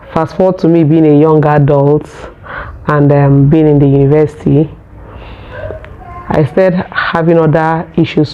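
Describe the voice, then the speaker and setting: The voice holds a moderate pace in a monotone, flat intonation with long, frequent pauses. Noticeable background noise runs underneath. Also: woman, very deep, low pitch for a woman. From Nigeria. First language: Nigerian local language. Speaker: vlogger. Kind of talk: casual personal vlog talk. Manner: halting, with fillers.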